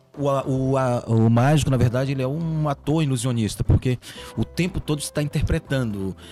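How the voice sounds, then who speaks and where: Ordinary pitch variation at a moderate pace, noticeable noise in the background. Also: man. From Ceará, Brazil (Catunda). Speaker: magician and comedian. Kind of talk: casual chat.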